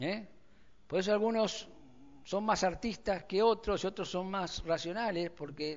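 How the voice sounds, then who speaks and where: With audible room echo, a man with an Argentine accent speaks fairly slowly using ordinary pitch variation. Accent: Rioplatense Argentine Spanish. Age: 60s. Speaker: pastor. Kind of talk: sermon.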